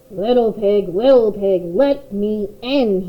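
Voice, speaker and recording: A put-on character voice, female-sounding and fairly high in pitch, at a fairly slow pace. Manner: growling.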